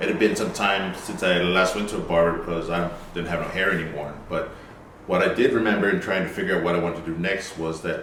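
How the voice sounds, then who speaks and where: A man talks in a very deep, low pitch with monotone, flat intonation. Audible room echo and noticeable background noise fill the recording. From South Pacific (American Samoa, Western Samoa). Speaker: barber. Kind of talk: personal story interview. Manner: hesitant, many fillers.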